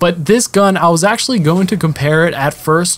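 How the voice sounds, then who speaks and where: A man's fairly quick speech, with normal rises and falls in pitch, comes through noticeable background noise. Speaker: gaming commentator.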